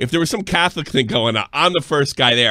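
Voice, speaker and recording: Talking very fast with a New York accent, a man sounds animated. His intonation is lively. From New York area. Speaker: live stream show host. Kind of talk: casual reaction chat. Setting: live online stream. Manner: animated, profane.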